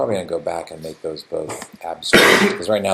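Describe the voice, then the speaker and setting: The recording carries noticeable background noise. The voice belongs to a man. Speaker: game developer streamer. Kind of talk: live coding stream. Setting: live stream. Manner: mumbling to himself.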